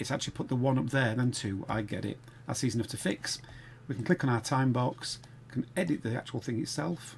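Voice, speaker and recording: A Sheffield accent at a very fast pace. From northern England, Sheffield. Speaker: game development tutor. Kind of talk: tutorial. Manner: casual, thinking aloud.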